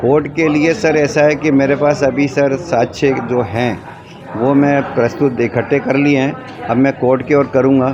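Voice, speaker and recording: With audible room echo and noticeable background noise, a man speaks at a very even loudness. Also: fairly high pitch for a man. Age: 70s. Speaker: complainant at public hearing. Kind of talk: interview testimony.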